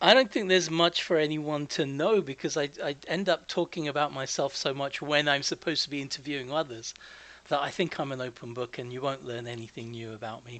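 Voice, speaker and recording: Bright and sharp in tone, the voice has a slight Canadian accent, big shifts in loudness, ordinary pitch variation and a fairly quick pace. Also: man, fairly high pitch for a man. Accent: English, very slight Canadian hint. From England. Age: 50s. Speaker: podcast host being interviewed. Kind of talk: casual chat interview.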